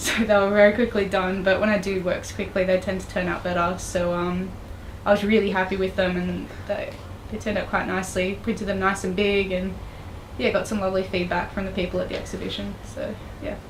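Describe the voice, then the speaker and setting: With an Australian accent, a woman speaks fairly quickly at a medium pitch in a monotone, flat intonation, amid noticeable background noise and audible room echo. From Australia, Tasmania. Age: 20s. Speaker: digital artist. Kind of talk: interview. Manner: hesitant, many fillers.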